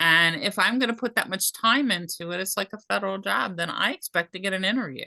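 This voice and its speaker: In a dry, close sound with no echo, a woman talks at a very fast pace with hardly any pauses, using a medium pitch, lively intonation and a bright, sharp tone. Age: 60s. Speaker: job seeker. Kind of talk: casual chat.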